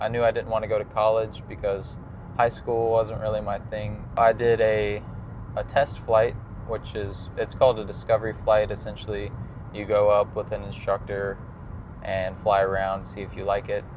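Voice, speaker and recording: Against noticeable background noise, a man with a fairly low pitch talks at a moderate pace in a monotone, flat manner. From US South, South Carolina then Florida. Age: 20s. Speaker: pilot and family vlogger. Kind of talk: personal vlog monologue. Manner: casual with frequent fillers.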